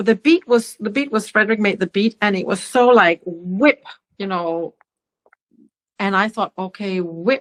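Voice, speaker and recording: A woman with a Danish accent speaks at medium pitch with ordinary pitch variation, in a dry, close sound with no echo. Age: 60s. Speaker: singer-songwriter. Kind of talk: interview conversation. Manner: halting, many fillers.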